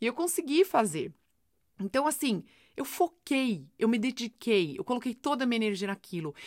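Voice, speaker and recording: Her voice high and her pitch swinging very widely, a woman talks at a moderate pace in a very clean, dry, close recording with no echo and a silent background. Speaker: podcast host, self-help coach. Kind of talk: motivational monologue. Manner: animated.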